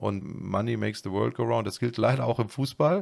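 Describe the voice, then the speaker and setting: Over a quiet background, a man with a fairly low pitch, ordinary pitch variation and vocal fry speaks at a fairly quick pace. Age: 40s. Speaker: real estate executive; podcast guest. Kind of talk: interview. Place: office. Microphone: studio mic.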